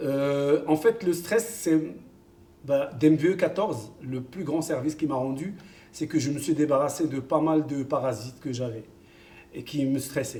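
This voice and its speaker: Speaking with an Arabic accent, a man uses a fairly high pitch and a fairly slow pace, leaving long, frequent pauses. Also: ordinary pitch variation. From Morocco (Kenitra). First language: Arabic (speaking French). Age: 50s. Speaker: football coach. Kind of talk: interview. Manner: hesitant, many fillers.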